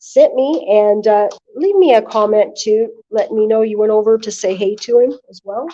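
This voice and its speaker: This woman has a fairly high pitch and a dark, mellow tone, talking at a moderate pace with very wide pitch swings. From northern US. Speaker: livestreaming vlogger. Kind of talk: livestream commentary. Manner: loud.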